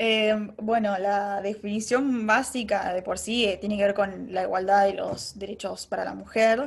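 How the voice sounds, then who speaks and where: Fairly slow, monotone delivery with flat intonation and hardly any pauses. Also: woman, medium pitch for a woman. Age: 20s. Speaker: advertising professional. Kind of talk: casual interview chat.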